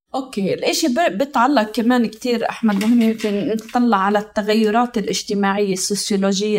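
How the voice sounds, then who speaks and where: A woman in a plain, everyday voice speaks at a moderate pace, her pitch fairly high with ordinary variation. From Palestine. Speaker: sociologist and researcher. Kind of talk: interview.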